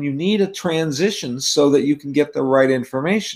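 With an American accent, a man talks at a moderate pace in a fairly high pitch with lively intonation. He has an ordinary speaking voice. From California. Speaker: author. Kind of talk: panel discussion. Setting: video call.

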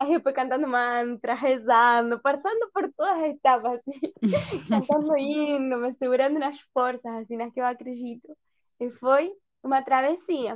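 Speaking at a moderate pace, a woman has a high pitch and ordinary pitch variation. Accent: Spanish. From Argentina, Buenos Aires. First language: Spanish (speaking Portuguese). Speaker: mother sharing birth story. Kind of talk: personal testimony in casual interview.

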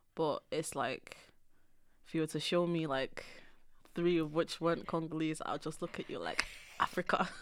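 Speaking at a moderate pace with long, frequent pauses, a woman keeps a monotone, flat intonation at a fairly low pitch. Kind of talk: casual chat. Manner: not loud.

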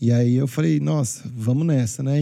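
A man's dark, mellow tone carries a lively intonation. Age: 30s. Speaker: wedding DJ. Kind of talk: testimony. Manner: animated.

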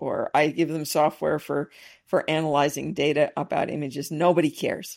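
A woman's very deep, low pitch on a very clean recording with a silent background. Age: 50s. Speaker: astrophysics professor. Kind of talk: interview. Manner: halting.

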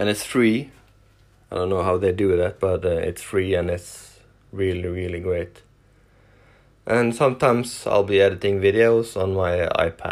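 This man has a very deep, low pitch and a Norwegian accent. He talks at a moderate pace with fairly even intonation and long, frequent pauses. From Norway. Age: 40s. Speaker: truck driver and YouTuber. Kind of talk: casual solo podcast, self-introduction. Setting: home, sitting on the couch. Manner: hesitant, many filler words.

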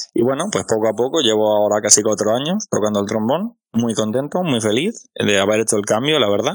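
A man talks at a fairly quick pace with hardly any pauses. His pitch is medium with ordinary variation, and his loudness stays very even. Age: 30s. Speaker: podcast host and amateur musician. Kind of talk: interview. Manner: halting.

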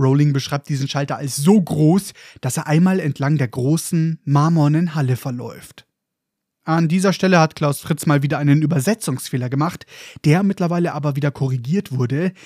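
An animated man with a fairly high pitch speaks at a moderate pace, somewhat breathy, with ordinary pitch variation. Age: 20s. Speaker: podcast host. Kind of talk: book discussion podcast with narration.

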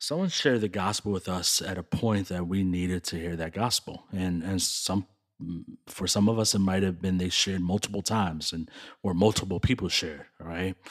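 In a very clean recording with a silent background, a man with an American accent speaks fairly quickly at a very deep, low pitch, his intonation fairly even. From Chicago, West Side. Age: 40s. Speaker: church leader and community networker. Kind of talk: casual chat.

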